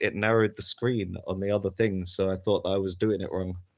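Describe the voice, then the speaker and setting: A man's fairly low, monotone voice in a southern English accent, flat in intonation and very fast, over a quiet background. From London area, England. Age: 30s. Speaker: streamer. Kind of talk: casual live stream chat. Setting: live stream.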